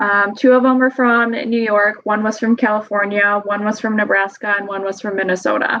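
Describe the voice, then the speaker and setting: Woman with a Wisconsin accent, fairly high in pitch, monotone and flat, at a moderate pace with hardly any pauses. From Wisconsin, US Midwest. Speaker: study abroad traveler, hunter. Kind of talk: podcast interview.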